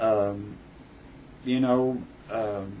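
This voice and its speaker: In a room with audible echo, a man talks with fairly even intonation. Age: 60s. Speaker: book reviewer vlogger. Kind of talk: casual monologue. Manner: halting, many fillers.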